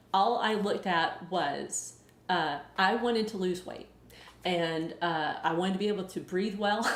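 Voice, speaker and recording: This woman's pitch is medium, and she speaks in a Southern US accent at a fairly slow pace. Her pitch variation is ordinary, and room echo is audible. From US South. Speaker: weight loss YouTuber and author. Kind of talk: live Q&A. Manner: casual, hesitant with many fillers.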